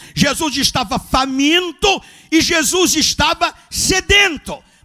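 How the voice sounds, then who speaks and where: A man's extremely high-pitched, raised and projected voice, bright and sharp in tone. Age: 70s. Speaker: pastor. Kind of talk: sermon. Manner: animated.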